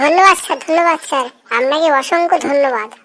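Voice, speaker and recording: A squeaky, high-pitched cartoonish character voice from a woman. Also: fairly quick pace. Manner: naive, cheeky.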